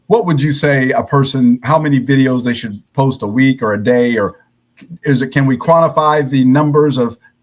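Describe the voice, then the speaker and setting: With an American accent, a man talks in a plain, everyday voice at a medium pitch with ordinary pitch variation. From US Midwest, Cincinnati, Ohio. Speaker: podcast host. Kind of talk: interview.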